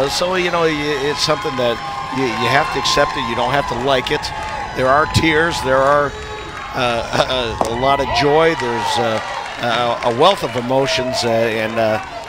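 Crowd noise sits in the background as a man talks at a medium pitch. His tone is relaxed, his pace fairly slow, and his pitch variation ordinary. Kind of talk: live sports commentary, analysis. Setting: broadcast booth. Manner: conversational, relaxed analyst, some filler words.

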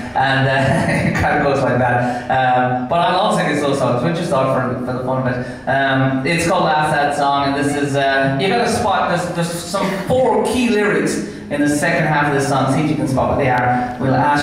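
A man with a fairly high voice speaks amid strong room echo and light background noise. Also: ordinary pitch variation, moderate pace, hardly any pauses. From Ireland. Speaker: singer-songwriter. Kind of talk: casual stage banter to a live audience. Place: bar. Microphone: camera far.

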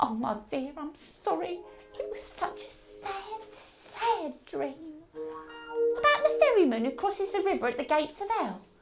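A female-sounding voice does a put-on character at a high pitch and a moderate pace. Music plays clearly in the background. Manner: soothing, gentle, motherly.

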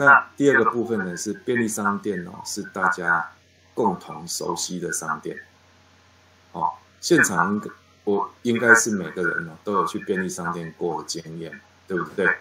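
Pausing long and often, a man talks at a fairly slow pace in a fairly low pitch, with ordinary pitch variation and big swings in loudness. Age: 50s. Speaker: chain store management instructor. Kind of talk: online lecture. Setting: online class. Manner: many filler particles and hesitations.

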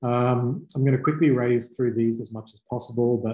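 A man with an Australian accent speaks in a dark, mellow tone that is somewhat breathy. The background is quiet. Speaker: startup company representative presenting to clients; presenter. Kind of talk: webinar presentation. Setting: online video presentation. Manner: casual with many fillers. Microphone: video call.

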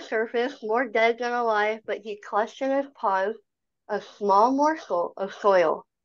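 A woman is speaking against a quiet background. Her pitch varies in an ordinary way. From Canada. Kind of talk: virtual meeting presentation. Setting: video call. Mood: calm and reflective. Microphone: video call.

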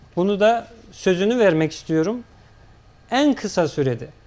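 A man with a high pitch keeps to a moderate pace as he talks. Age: 30s. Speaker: local party chairman; guest. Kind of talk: political TV interview. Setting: TV studio. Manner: formal. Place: studio. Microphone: lapel.

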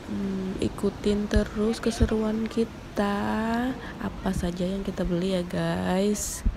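A woman at medium pitch with vocal fry, fairly even intonation and a slow pace, over clear background noise.

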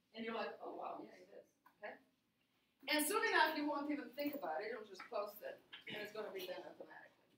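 A woman's high voice at a fairly quick pace with very wide pitch swings, audible room echo and music in the background. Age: 40s. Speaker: university lecturer. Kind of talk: lecture. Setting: classroom. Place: classroom.

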